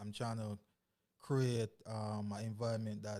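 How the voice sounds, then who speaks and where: A man with a Jamaican accent speaks in a fairly low, dark, mellow voice with monotone, flat intonation. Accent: Caribbean (Jamaican). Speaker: hip hop artist. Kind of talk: casual interview. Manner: halting, many fillers.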